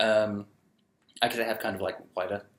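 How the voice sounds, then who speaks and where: A man speaks quietly. His pace is moderate. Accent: British. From UK. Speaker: vlogger. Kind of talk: casual vlog, answering viewer questions. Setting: recording alone with photo booth camera. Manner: hesitant, many ums.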